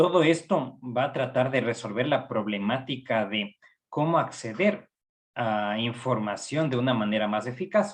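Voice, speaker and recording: A man with an Ecuadorian accent talks at a fairly slow pace, medium in pitch, with lively intonation. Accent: Ecuadorian Spanish, noticeable. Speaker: psychology professor. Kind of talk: lecture.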